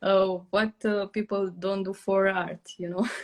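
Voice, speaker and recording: A woman talks with a Romanian accent. Her pace is very slow. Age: 20s. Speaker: journaling content creator. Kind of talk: casual chat. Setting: live stream video call. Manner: halting, many fillers.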